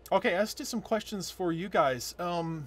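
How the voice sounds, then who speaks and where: On a very clean recording with a silent background, a man speaks in a somewhat breathy voice. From US, moved around, born upstate New York. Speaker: author. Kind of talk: casual vlog update. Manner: hesitant, many fillers.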